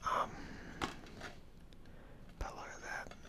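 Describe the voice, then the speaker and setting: A man whispers over noticeable background noise. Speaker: ASMR and film-talk YouTuber. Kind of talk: casual talk to camera about films. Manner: whispered, soft-spoken.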